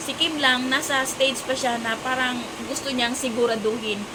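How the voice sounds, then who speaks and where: A woman speaks loudly at a high pitch and a moderate pace. Room echo is audible, along with noticeable background noise. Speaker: vlogger. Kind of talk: casual showbiz chat vlog. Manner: loud, raising voice over rain.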